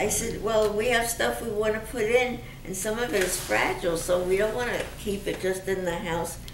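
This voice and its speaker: A woman with an American accent speaks over noticeable background noise and audible room echo. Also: medium pitch for a woman, ordinary pitch variation, moderate pace. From Brooklyn, New York. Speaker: survivor's wife. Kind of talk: oral history interview. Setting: museum.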